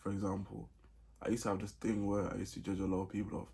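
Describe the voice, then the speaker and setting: Fairly quick and fairly low, this man's voice has a dark, mellow tone with vocal fry. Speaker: vlogger. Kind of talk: casual advice vlog. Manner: many pauses.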